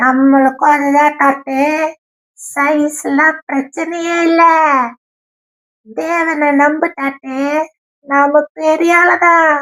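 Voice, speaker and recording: A cartoonish character voice pitched high. It moves at a very slow pace. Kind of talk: children's puppet show storytelling. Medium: puppet. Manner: upbeat, playful.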